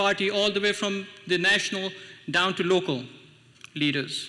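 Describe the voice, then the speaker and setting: Over noticeable background noise, a man speaks in a raised, projected voice with fairly even intonation. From Pakistan. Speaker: city council member and party official. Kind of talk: speech at a political event.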